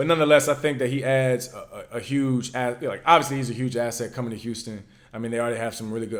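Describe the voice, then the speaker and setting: With a slight Virginia accent, a man at medium pitch talks at a very fast pace with hardly any pauses, using an animated tone and big swings in loudness. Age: 20s. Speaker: former pro quarterback, football analyst. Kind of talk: casual chat.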